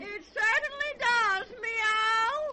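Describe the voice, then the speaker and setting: An extremely high-pitched, put-on character voice. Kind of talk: 1940s children's radio serial acting. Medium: old radio play. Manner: tacks a meow onto every line.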